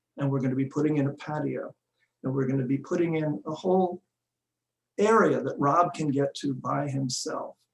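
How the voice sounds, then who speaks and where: A somewhat breathy man speaks at a fairly high pitch with fairly even intonation. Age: 70s. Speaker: builder sharing with a spiritual group. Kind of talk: testimony. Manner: halting.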